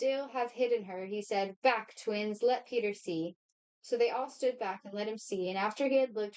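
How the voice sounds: A natural reading voice, with ordinary pitch variation, is heard over a quiet background.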